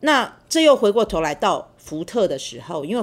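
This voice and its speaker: Over a silent background in a very clean recording, a woman talks at a moderate pace. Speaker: university professor. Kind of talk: interview, personal storytelling. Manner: hesitant, many fillers.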